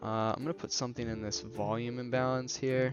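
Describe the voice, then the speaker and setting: A man talks with music in the background. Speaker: day trader. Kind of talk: live trading commentary. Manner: casual.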